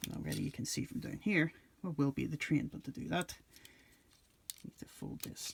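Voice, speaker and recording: Quiet and somewhat breathy, a man speaks at a moderate pace in a fairly high voice with lively intonation. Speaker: toy reviewer. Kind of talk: casual review talk to camera.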